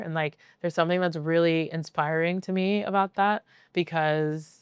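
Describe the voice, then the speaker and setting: A normal speaking voice from a woman, fairly low in pitch, at a moderate pace with fairly even intonation, on a very clean recording with a silent background. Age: 30s. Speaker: DJ. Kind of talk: casual chat. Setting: recorded at a venue. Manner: many filler words, rambling pace.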